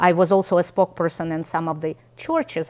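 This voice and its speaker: The speech comes in a Russian accent with fairly even intonation. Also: woman. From Ukraine. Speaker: immigrant guest. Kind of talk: interview.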